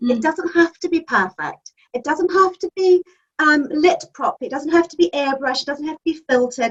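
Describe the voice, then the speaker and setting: Her pitch is high, and her intonation is lively. The woman speaks at a fairly quick pace. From New Zealand. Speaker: magazine editor and publisher. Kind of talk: interview answer.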